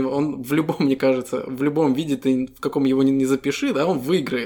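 In a plain, everyday voice, a man speaks at a fairly quick pace with a fairly high pitch and fairly even intonation. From Estonia. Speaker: podcast co-host. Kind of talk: casual chat.

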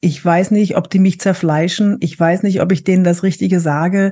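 Somewhat breathy delivery comes with a dark, mellow tone. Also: woman. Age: 50s. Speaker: actress and body language trainer. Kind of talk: casual interview.

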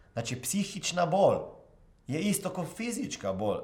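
His voice sits high for a man. The pitch of this speaker rises and falls across a very wide range. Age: 40s. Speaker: motivational coach and podcast host. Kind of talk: motivational monologue.

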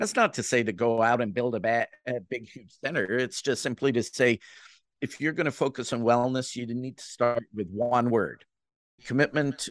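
A man with an American accent at a medium pitch, moderate pace and ordinary pitch variation, quiet background. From Jamaica. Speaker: CEO of a professional association on active aging. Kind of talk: interview. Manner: frequent fillers and restarts.

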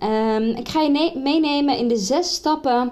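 A woman talks at a fairly slow pace. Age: 20s. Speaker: career coach podcaster. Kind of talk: solo podcast monologue with tips. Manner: casual, with many fillers.

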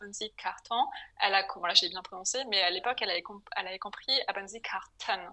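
Speaking at a very fast pace, a woman has a medium pitch and ordinary pitch variation. Her loudness swings widely. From France, Paris. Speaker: entrepreneur. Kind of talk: interview. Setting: call.

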